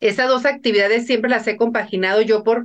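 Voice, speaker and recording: With an ordinary speaking voice and a quiet background, a woman talks at a fairly high pitch with ordinary pitch variation. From Mexico, northern Sinaloa. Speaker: businesswoman. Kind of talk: interview.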